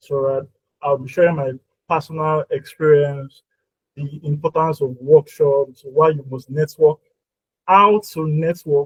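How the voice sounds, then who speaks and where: A somewhat breathy man speaks at a fairly high pitch and fairly slow pace, with fairly even intonation. Long, frequent pauses and big swings in loudness run through his speech. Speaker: workshop speaker. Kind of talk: presentation.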